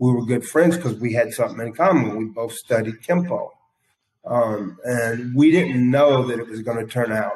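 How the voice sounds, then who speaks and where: A man with an American accent talks at a moderate pace in a medium-pitched, somewhat breathy voice with ordinary pitch variation. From US South, South Carolina (Aiken County). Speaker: state hospital detainee telling his life story. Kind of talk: personal testimony.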